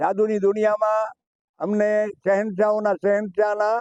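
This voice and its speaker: A man speaks with a high pitch and a dark, mellow tone. The sound is dry and close, without echo. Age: 80s+. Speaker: retired stage magician. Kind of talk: interview.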